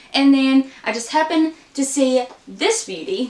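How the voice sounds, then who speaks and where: High pitch from a woman, with noticeable background noise behind her. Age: 20s. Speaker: book vlogger. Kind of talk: casual vlog.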